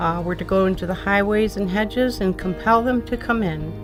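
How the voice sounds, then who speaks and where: A woman at a moderate pace with music in the background. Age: 70s. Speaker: evangelist volunteer. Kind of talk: interview answer.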